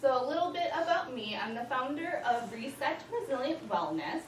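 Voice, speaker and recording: Audible room echo and noticeable background noise fill the recording. A woman with an American accent speaks in very wide pitch swings. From US East Coast. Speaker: mental health therapist. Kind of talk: presentation to a live audience. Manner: fast.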